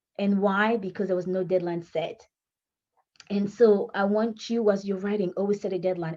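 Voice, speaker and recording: A woman's dark, mellow voice at medium pitch, fairly quick, with ordinary pitch variation. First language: French. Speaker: author and writing coach. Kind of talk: tutorial. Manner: halting.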